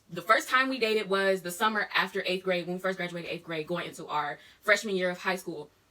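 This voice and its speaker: In an animated tone and an American accent, a woman speaks at a very fast pace with big swings in loudness, noticeable background noise behind her. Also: medium pitch for a woman, ordinary pitch variation. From US Midwest, Milwaukee, Wisconsin. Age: 20s. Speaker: YouTuber. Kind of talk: casual Q&A vlog.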